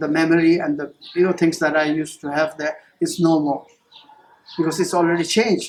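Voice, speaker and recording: A man talks in a high pitch with monotone, flat intonation. His pace is fairly quick, broken by long, frequent pauses. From Tibet and Nepal, schooled in Darjeeling. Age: 60s. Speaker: textile artist. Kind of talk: personal life story interview. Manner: halting, many fillers.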